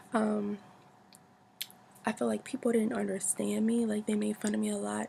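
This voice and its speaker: Behind the speech sits noticeable background noise. The woman keeps to a moderate pace. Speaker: model and actor. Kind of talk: casual talk to camera. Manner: rambling, repetitive, many fillers.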